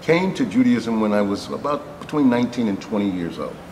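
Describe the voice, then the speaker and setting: In an American accent, the speaker goes at a moderate pace amid noticeable background noise and audible room echo. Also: man. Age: 60s. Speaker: rabbi. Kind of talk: interview. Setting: on location in a synagogue. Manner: hesitant, with fillers.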